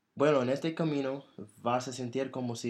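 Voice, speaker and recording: This man's intonation stays fairly even throughout. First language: English (speaking Spanish). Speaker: podcast host. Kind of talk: casual chat.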